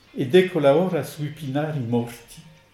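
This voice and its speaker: Fairly slow speech from a man over background music. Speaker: French translator reader. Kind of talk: reading aloud, translation of poems.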